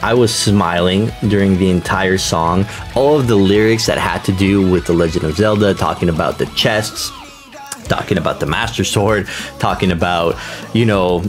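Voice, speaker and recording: Clear background music behind a man at a fairly low pitch, with ordinary pitch variation and a moderate pace. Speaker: reaction video host. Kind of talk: casual commentary. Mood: enthusiastic, upbeat. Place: home room.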